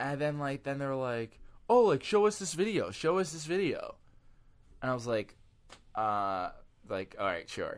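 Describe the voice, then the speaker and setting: Loud and fairly high for a man, his voice swings very widely in pitch at a moderate pace, with long, frequent pauses on a very clean recording with a silent background. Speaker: podcast host. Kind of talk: casual chat.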